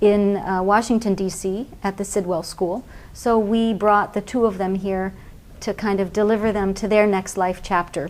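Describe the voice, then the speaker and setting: A woman's unremarkable speaking voice at medium pitch, with an American accent, fairly even intonation and a fairly slow pace. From US West Coast, Pasadena, California. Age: 50s. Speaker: NGO founder and aid reform advocate. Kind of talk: TV interview.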